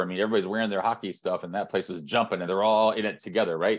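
Here a man talks with a Midwestern American accent. The background is quiet. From Northern Indiana. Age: 50s. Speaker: sports marketing executive. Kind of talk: interview. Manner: halting.

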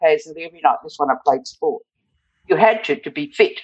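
This woman speaks with an Australian accent at a fairly high pitch. Her pitch swings very widely, with vocal fry. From Australia, rural northern New South Wales. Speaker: retired hospital and blood bank worker. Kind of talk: interview storytelling. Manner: vibrant.

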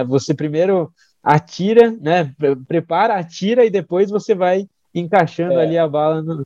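A dark, mellow tone at a moderate pace, with ordinary pitch variation and a dry, close sound with no echo. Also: man. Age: 20s. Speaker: physician and health startup founder. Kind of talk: interview.

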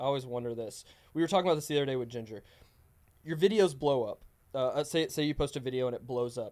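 The man talks very fast. His voice sits fairly high and varies in pitch in an ordinary way. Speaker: podcast co-host interviewer. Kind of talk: casual interview. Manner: casual, friendly.

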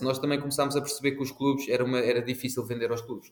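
A man at a medium pitch. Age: 30s. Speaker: sports tech business manager. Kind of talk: podcast interview. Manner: halting, many repetitions.

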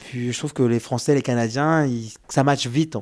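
A man speaks at a fairly quick pace in a plain, everyday voice, medium in pitch with fairly even intonation, on a very clean recording with a silent background. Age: 30s. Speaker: single father via surrogacy. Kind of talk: testimony.

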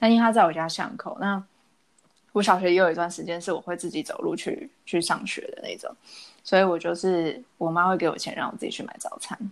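A woman of medium pitch speaks at a fairly quick pace in an unremarkable speaking voice, with ordinary pitch variation and big swings in loudness. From Taiwan. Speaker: podcast co-host. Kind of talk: casual chat.

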